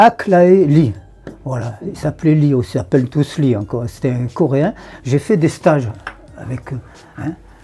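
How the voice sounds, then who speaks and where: A man's fairly high voice at a fairly slow pace with lively intonation, long, frequent pauses, and noticeable background noise. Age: 80s+. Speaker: martial arts teacher. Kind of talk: interview. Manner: halting.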